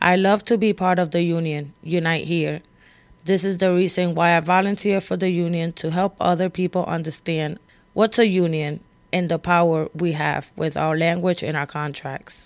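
With an ordinary speaking voice, a woman talks at a moderate pace in a fairly low pitch and fairly even intonation, on a very clean recording with a silent background. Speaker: union shop steward and organizer. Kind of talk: recorded personal testimony.

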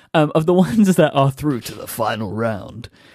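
On a very clean recording with a silent background, a man speaks. He has an American accent and a moderate pace. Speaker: podcast co-host. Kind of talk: casual chat.

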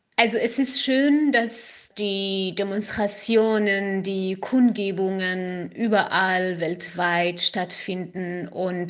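At a very slow pace, a woman talks with fairly even intonation. Her pitch is medium. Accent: Kurdish. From Iran, Kurdish region. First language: Kurdish (speaking German). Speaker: activist. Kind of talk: interview. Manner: halting, with fillers.

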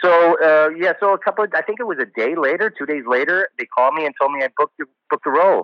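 Talking very fast in an American accent, a man uses a high pitch with ordinary pitch variation. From New Jersey, US. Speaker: actor. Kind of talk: interview.

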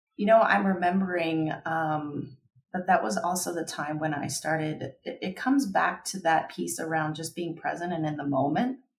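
A woman with an American accent, fairly low in pitch and somewhat breathy, at a moderate pace with hardly any pauses and ordinary pitch variation. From US South, Kentucky. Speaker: designer. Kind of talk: casual interview.

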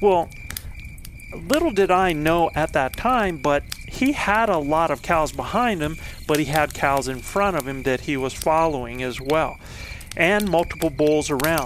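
A man's plain, everyday voice, fairly high-pitched with ordinary pitch variation, at a fairly slow pace. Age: 50s. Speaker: elk hunting coach and podcast host. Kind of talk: storytelling monologue.

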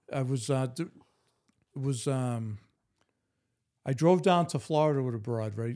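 With a Boston accent, a man speaks at a moderate pace and medium pitch, his dark, mellow tone showing ordinary pitch variation and long, frequent pauses. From East Boston, Massachusetts. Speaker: podcast guest. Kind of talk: casual chat.

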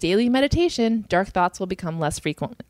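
A woman speaks in an ordinary speaking voice at medium pitch and a fairly quick pace, with lively intonation and a dry, close sound with no echo. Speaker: comedian podcast co-host. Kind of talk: casual chat.

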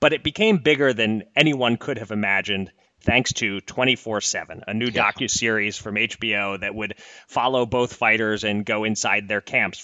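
Speaking with an American accent, a man has an unremarkable speaking voice at medium pitch, with ordinary pitch variation and a moderate pace. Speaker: podcast host. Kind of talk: casual conversational podcast.

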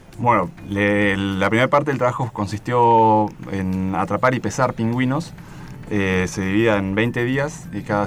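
Over noticeable background noise, a man with a fairly low pitch talks at a fairly slow pace with ordinary pitch variation. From Argentina, Patagonia (Bariloche). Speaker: geologist. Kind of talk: radio interview. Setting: radio studio at Antarctic base.

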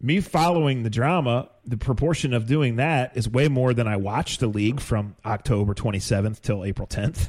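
A man speaks in an unremarkable speaking voice at a medium pitch and moderate pace, with ordinary pitch variation, very even loudness and hardly any pauses. The recording is very clean, with a silent background. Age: 50s. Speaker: sports podcast host. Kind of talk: casual chat.

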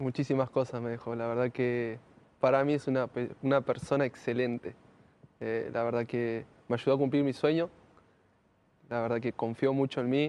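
A man's medium-pitched voice at a moderate pace, monotone and flat, broken by long, frequent pauses. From Argentina, Greater Buenos Aires (Lanús). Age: 20s. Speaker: professional footballer. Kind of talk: interview.

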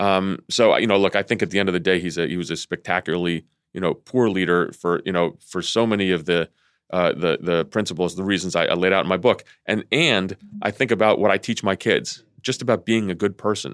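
Very deep and low in pitch, a man talks at a fairly quick pace with ordinary pitch variation on a very clean recording with a silent background and a dry, close sound with no echo. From Greece. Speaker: former intelligence officer. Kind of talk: interview. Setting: studio. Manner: halting.

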